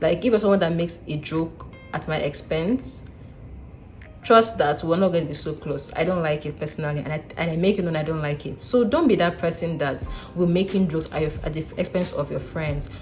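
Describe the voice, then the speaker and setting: With music in the background, a woman talks at a fairly quick pace. Her pitch is fairly low, with ordinary variation. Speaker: vlogger, doctor. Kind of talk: casual advice vlog. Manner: animated.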